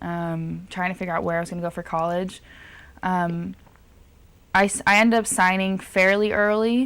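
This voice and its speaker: Speaking in a Californian accent at a moderate pace with fairly even intonation and long, frequent pauses, a woman is heard on a very clean recording with a silent background. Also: medium pitch for a woman. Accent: Californian American. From Southern California. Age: young. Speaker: college basketball player and music student. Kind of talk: interview.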